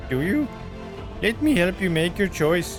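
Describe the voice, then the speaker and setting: Over loud background music, a man puts on a character voice, pitched high and delivered at a moderate pace. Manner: menacing, growling.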